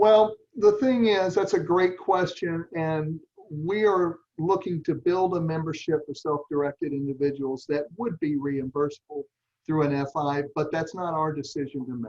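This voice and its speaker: A man speaks with a Southern US accent at a fairly high pitch. His pitch varies in an ordinary way. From US South. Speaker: nonprofit meeting leader. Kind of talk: online meeting presentation. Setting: video call. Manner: slow.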